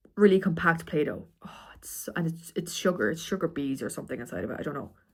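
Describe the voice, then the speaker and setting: A woman with a fairly low pitch and vocal fry talks at a very fast pace with lively intonation. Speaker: vlogger. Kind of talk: casual vlog. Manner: halting, many fillers.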